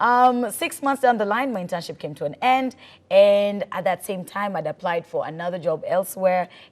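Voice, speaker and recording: A woman with a Kenyan accent talks at a moderate pace, her loudness shifting in big swings. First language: Swahili. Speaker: radio presenter. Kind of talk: talk show interview.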